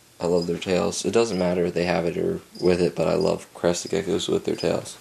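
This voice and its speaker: Someone talks at a fairly quick pace in a monotone, flat delivery, with noticeable background noise. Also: man, very deep, low pitch for a man. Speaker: reptile hobbyist vlogger. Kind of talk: casual video update. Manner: hesitant, many filler sounds.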